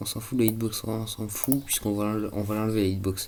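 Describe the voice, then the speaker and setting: A dark, mellow tone carries the speech at a fairly quick pace. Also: man. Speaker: gaming youtuber. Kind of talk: let's play commentary. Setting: at home. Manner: casual, hesitant.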